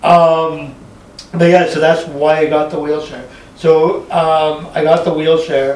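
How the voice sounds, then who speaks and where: A man with a fairly high pitch speaks at a fairly slow pace in a flat monotone, with noticeable background noise and audible room echo. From Montreal, Quebec. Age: 40s. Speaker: stand-up comedian. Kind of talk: casual chat.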